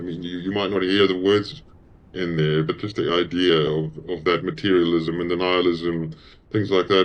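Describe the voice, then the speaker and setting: A man with a South African accent, very deep and low in pitch, at a fairly quick pace. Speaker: musician. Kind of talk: interview.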